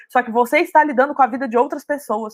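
With a high voice and ordinary variation in pitch, a woman talks. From Brazil, Minas Gerais (Belo Horizonte). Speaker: marketing professional at a startup. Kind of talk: casual interview.

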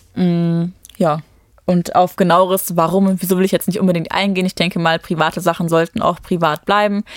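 Fairly quick and monotone, a woman with a fairly low pitch speaks in a dry, close sound with no echo. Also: very even loudness. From Germany, Düsseldorf area, Romanian parents. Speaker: reality TV contestant, office worker. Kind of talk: casual interview chat.

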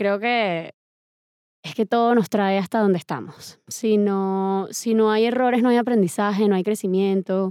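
A woman with a dark, mellow tone and a fairly high pitch talks at a fairly slow pace. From Venezuela (Valencia), born in Medellín. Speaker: film director. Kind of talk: casual interview chat.

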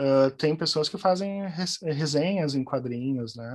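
A man at a moderate pace over a quiet background. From southern Brazil, Porto Alegre. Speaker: journalist and translator. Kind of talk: interview conversation. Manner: halting, many repetitions.

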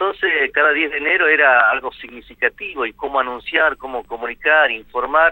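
A man talks at a fairly quick pace in a fairly high pitch with ordinary pitch variation. It is a plain, everyday voice. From northwest Argentina, Amaicha del Valle (Tucumán). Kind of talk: radio interview.

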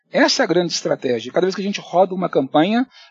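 This man's voice sits high. He talks very fast. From Belo Horizonte, Minas Gerais, Brazil. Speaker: marketing executive. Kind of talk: interview.

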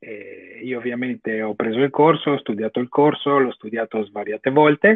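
A man with an ordinary speaking voice at medium pitch, talking at a moderate pace. His loudness swings widely while his pitch varies in an ordinary way. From Italy. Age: 30s. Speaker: online course student. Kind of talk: interview on livestream.

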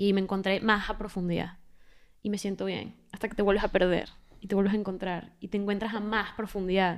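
Delivering her words at a fairly quick pace, a woman keeps a monotone, flat intonation. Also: medium pitch for a woman, very clean recording, silent background. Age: 20s. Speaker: podcast co-host. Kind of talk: casual chat.

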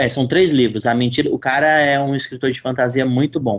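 In an ordinary speaking voice, the speaker keeps a moderate pace and fairly even intonation. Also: man. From Brazil, São Paulo. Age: 30s. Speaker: novelist. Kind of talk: casual chat.

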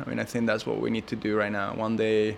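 A man is speaking. He has a Spanish accent. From Spain, Madrid. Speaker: entrepreneur and filmmaker. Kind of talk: interview. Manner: halting, many fillers and repetitions.

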